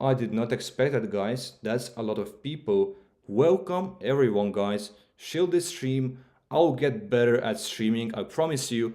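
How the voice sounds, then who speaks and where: A man's medium-pitched voice, dark and mellow in tone, with lively intonation at a fairly slow pace. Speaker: crypto trading streamer. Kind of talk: live stream commentary. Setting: live stream. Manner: halting.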